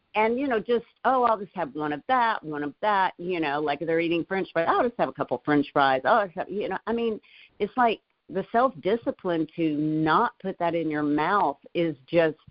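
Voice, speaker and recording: A woman with a normal speaking voice talks at a fairly low pitch and a moderate pace, her intonation lively. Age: 60s. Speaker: motivational leadership show co-host. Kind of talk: casual motivational discussion.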